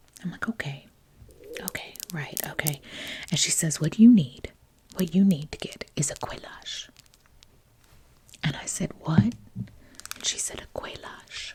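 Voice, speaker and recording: A woman whispers at a moderate pace with long, frequent pauses. Her loudness swings widely. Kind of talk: storytelling, casual anecdote. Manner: soft-spoken, chatty.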